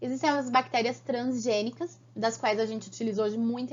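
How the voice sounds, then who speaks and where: A woman talks at a moderate pace with a fairly high pitch. Her voice is somewhat breathy and animated in tone. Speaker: biology teacher. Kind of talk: online lecture.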